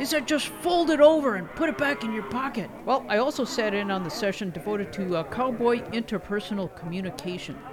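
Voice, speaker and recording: Noticeable background noise accompanies speech delivered fairly quickly. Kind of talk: radio DJ patter with comic skits. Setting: radio show.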